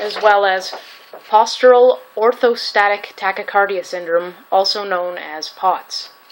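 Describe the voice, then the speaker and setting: Noticeable background noise runs behind a woman at a medium pitch. She talks at a fairly slow pace with fairly even intonation. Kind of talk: casual talk to camera. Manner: stuttering.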